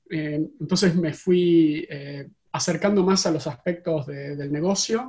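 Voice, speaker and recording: Speaking at a fairly slow pace in an Argentine accent, a man uses a high pitch with ordinary pitch variation and a dark, mellow tone. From Argentina. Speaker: tech company CEO. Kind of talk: interview. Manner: halting.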